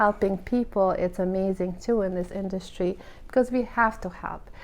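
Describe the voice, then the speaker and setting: Speaking at a moderate pace with a non-native accent, a woman uses a medium pitch and ordinary pitch variation. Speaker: hairstylist. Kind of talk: casual monologue. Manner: animated.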